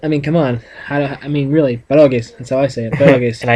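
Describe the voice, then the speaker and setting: Talking at a very fast pace with a fairly high pitch and a northeastern Pennsylvania accent, a man keeps a monotone, flat intonation while his loudness swings widely over noticeable background noise. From northeastern Pennsylvania, USA.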